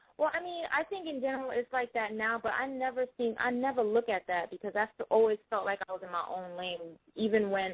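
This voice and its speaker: Talking at a fairly quick pace with hardly any pauses, a woman with a New York accent speaks at a fairly high pitch. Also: lively intonation. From New York (Mount Vernon and New York City). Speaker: singer. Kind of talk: interview. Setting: phone call.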